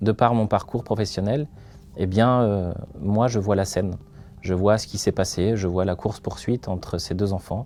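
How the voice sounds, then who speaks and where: A man's dark, mellow voice sits fairly low in pitch, moving at a moderate pace with fairly even intonation. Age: 30s. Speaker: company founder, crime scene cleaner. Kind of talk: interview testimony. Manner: hesitant, many filler sounds.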